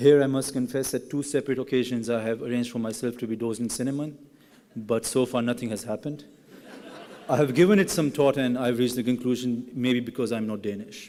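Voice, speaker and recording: A man with a Pashto accent talks at a very fast pace with a medium pitch and fairly even intonation over noticeable background noise. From Pakistan. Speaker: graduating student speaker. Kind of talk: ceremony speech.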